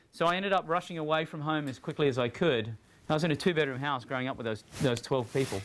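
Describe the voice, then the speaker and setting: A man speaks at a very fast pace in a fairly high voice. His pitch varies in an ordinary way. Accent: Australian. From Australia, rural country town. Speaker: digital trends speaker. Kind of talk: talk to students. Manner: casual and humorous.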